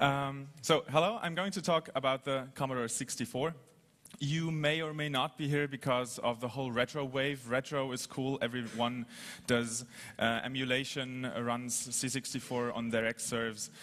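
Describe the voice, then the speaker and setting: The man speaks at a fairly slow pace with fairly even intonation. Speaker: conference presenter. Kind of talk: lecture. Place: hall.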